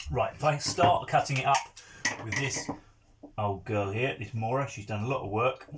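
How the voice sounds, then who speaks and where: A man with an English accent speaks at a moderate pace and medium pitch, with ordinary pitch variation, long and frequent pauses, and noticeable background noise. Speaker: countryside YouTuber. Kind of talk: tutorial.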